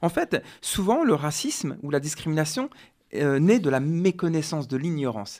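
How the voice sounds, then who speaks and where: An unremarkable speaking voice from a man, fairly high in pitch, lively in intonation and moderate in pace, on a very clean recording with a silent background. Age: 40s. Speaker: research officer and community volunteer. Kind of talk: radio interview.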